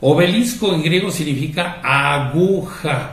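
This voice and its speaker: A man speaks with a Mexican accent amid audible room echo. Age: 60s. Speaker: priest. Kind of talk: religious talk. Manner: conversational, with fillers.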